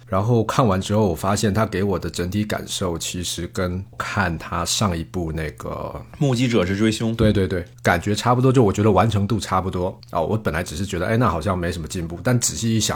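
In a normal speaking voice, a man talks at a fairly quick pace with fairly low pitch and ordinary pitch variation. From Taiwan. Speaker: film director. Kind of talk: casual film discussion.

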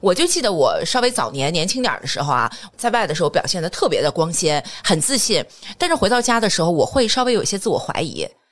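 Very fast and animated, a woman speaks with very wide pitch swings. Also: medium pitch for a woman. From Jinan, Shandong, China. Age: 40s. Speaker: corporate trainer and lecturer. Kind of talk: casual interview chat.

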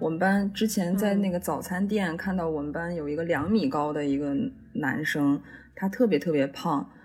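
A woman talks at a moderate speed, her voice somewhat breathy and her pitch varying in an ordinary way. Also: fairly low pitch for a woman. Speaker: drama student. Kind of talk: casual chat. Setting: remote call.

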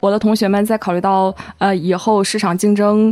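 This woman has a medium pitch and talks at a moderate pace with monotone, flat intonation. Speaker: graduate student. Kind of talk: casual chat.

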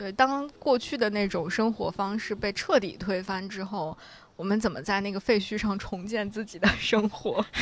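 At a moderate pace, a woman uses a normal speaking voice, medium in pitch with ordinary variation. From Central Plains, China. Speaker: podcast host. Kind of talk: casual chat. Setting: outdoors by a river.

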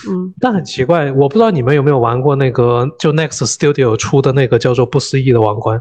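At a fairly quick pace with hardly any pauses, a man speaks at a medium pitch, somewhat breathy, with ordinary pitch variation. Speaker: gamer and father of a young daughter. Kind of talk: casual chat.

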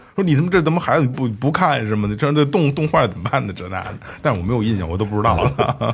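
Against noticeable background noise, a man talks very fast at a medium pitch. His pitch swings very widely. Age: 30s. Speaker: podcast host. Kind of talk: casual chat. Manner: halting, with many repeated words.

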